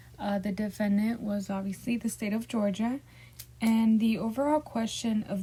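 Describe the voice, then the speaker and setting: Speaking at a fairly slow pace with a Spanish accent, a woman has a fairly high, somewhat breathy voice with a dark, mellow tone and fairly even intonation. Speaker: student. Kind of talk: class presentation. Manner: halting.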